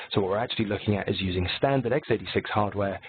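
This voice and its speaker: A man's fairly low voice carries over noticeable background noise. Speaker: technical presenter for a software company. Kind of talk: webinar presentation. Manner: relaxed, casual.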